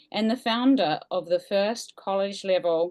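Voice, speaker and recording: This woman has a New Zealand accent. Her pitch varies in an ordinary way. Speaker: museum staff, event host. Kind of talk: event introduction.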